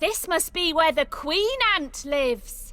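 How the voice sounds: Putting on a cartoonish character voice, a female-sounding speaker uses an extremely high pitch with very wide pitch swings at a fairly slow pace, with light background noise behind.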